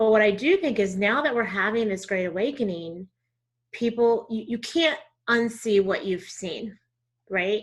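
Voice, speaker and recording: Against a quiet background, the speaker talks at a moderate pace with lively intonation and a slight Southern US accent. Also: woman. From Texas. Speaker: diversity trainer. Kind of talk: interview conversation.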